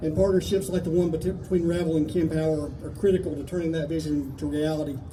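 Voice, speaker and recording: In a room with audible echo, a man with a high pitch and ordinary pitch variation talks at a fairly quick pace. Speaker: company executive. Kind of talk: prepared speech. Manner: some hesitations and self-corrections.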